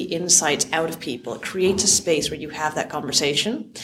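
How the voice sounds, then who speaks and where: In a Canadian accent, a woman speaks at a moderate pace with a fairly low pitch. Noticeable background noise and audible room echo accompany her. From Canada. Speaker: software founder and CEO. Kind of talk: conference interview. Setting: conference venue.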